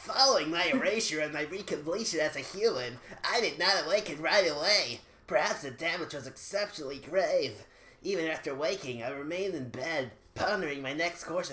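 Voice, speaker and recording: The speaker uses a put-on character voice at a middle pitch and a fairly quick pace. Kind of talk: formal, measured narration. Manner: calm.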